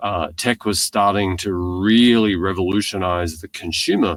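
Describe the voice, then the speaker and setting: Speaking in an Australian accent, a man with a very deep, low pitch keeps a moderate pace and fairly even intonation. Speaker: tech company founder and CEO. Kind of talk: podcast interview.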